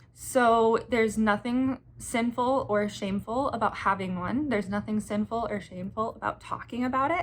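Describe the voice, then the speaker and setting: A somewhat breathy, fairly high woman's voice at a moderate pace with ordinary pitch variation. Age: 20s. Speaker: menstrual health educator. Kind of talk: educational talk to camera. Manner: casual, with fillers.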